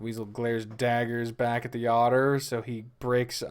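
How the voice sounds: The speaker uses a natural reading voice. It is a natural reading voice throughout.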